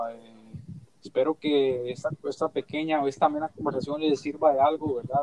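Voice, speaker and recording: Heard in a dry, close sound with no echo, a man speaks at a moderate pace with a fairly high pitch. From Costa Rica. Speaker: youth group member. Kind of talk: casual chat. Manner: halting.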